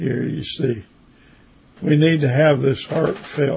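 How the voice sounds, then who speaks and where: The man's voice is fairly high and somewhat breathy. He speaks at a fairly slow pace. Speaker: Bible teacher. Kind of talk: Bible study lecture. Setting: online session. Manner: halting.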